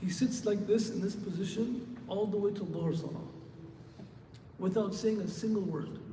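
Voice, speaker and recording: Soft-spoken and high-pitched, a man with an American accent talks at a moderate pace with ordinary pitch variation and long, frequent pauses. There is audible room echo and noticeable background noise. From Michigan, US. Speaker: Islamic scholar, preacher. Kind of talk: sermon. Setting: mosque with congregation, PA system. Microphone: handheld mic, too quiet upstairs.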